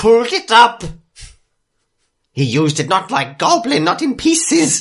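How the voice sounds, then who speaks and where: The put-on character voice jumps through very wide pitch swings. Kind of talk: comic fantasy voice acting. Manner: broken grammar, talks of himself in third person; melancholy, brooding, sudden outbursts.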